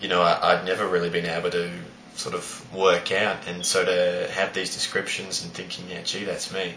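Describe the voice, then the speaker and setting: Over noticeable background noise and audible room echo, a man with an Australian accent speaks in a very deep, low pitch. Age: 20s. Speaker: high school teacher. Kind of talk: personal vlog monologue. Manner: hesitant, many fillers.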